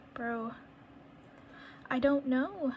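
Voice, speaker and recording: High pitch and fairly even intonation in a woman's speech. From New England. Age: 20s. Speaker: reborn doll artist. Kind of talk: casual talk to camera while painting. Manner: chatty, rambling.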